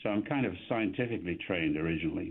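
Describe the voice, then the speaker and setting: This is a man speaking with an English accent. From England. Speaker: economist. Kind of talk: radio interview. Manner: halting.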